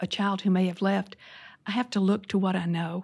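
A woman speaks in a Southern accent, somewhat breathy, at medium pitch. Her moderate pace comes through in a very clean recording with a silent background. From US South, Louisiana. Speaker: former church leader. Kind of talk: interview.

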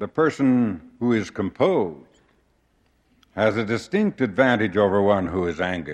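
A man with an American accent, fairly low pitch, lively intonation and a moderate pace. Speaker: church leader giving a conference address. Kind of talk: formal sermon-like conference address, earnest and measured, with prayerful close. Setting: conference pulpit before a large congregation. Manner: formal, earnest, measured; occasional halting restarts.

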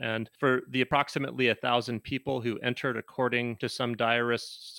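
Bright and sharp in tone, a man of medium pitch speaks at a moderate pace. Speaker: historian. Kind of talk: interview explanation.

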